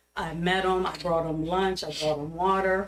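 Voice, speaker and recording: Speaking at a moderate pace with an American accent, a woman uses a fairly low-pitched voice. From Middletown, Pennsylvania (US). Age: 60s. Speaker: public commenter, teacher. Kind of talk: public comment at council meeting. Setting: council meeting. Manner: animated.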